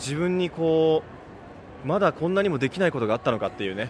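Lively intonation marks this man's fairly quick speech. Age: 30s. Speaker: travel reporter. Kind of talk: walking travel report. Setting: outdoors on location. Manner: animated.

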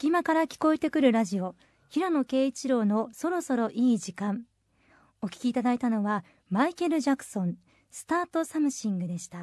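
With a high pitch, very wide pitch swings and big shifts in loudness, a woman talks at a fairly quick pace in a dry, close sound with no echo. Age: 30s. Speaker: radio assistant host. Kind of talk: scripted radio announcements; casual chat.

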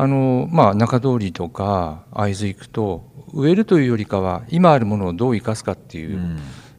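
This man has an ordinary speaking voice, fairly low in pitch, with lively intonation. He talks at a moderate pace, and his loudness swings widely. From Kanto region. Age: 60s. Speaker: forest park director. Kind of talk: interview.

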